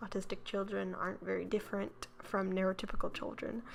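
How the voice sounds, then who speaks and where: This woman talks at a moderate speed. There is music behind her voice. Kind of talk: educational commentary video. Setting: low-quality home recording.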